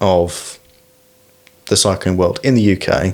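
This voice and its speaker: A fairly low-pitched man with an English accent, at a very slow pace, with ordinary pitch variation and noticeable background noise. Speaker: podcast host, bike mechanic. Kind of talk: casual interview.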